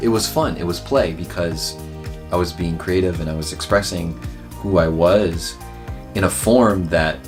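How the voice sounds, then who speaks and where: With music playing behind him, his very deep, low voice carries as a man talks. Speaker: pharmacist. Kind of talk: interview answer.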